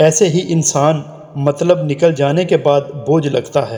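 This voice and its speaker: A man's fairly high voice, dark and mellow in tone, with fairly even intonation. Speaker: voice-over artist. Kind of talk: motivational quotes narration.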